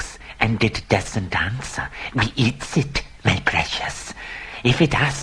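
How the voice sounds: What you hear here is a natural reading voice.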